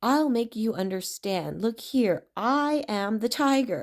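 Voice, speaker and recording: A woman uses a put-on character voice, growling at a fairly high pitch and a fairly slow pace. The recording is very clean with a silent background. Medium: read story.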